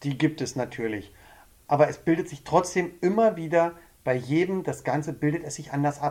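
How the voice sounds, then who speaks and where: An unremarkable speaking voice from a man, fairly high in pitch with ordinary pitch variation, at a moderate pace with big swings in loudness, on a very clean recording with a silent background. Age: 40s. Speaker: couples counselor. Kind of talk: casual chat. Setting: studio.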